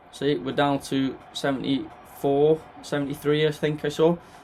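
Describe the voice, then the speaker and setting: A man's voice against noticeable background noise. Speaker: gaming commentator. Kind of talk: gameplay commentary. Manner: animated.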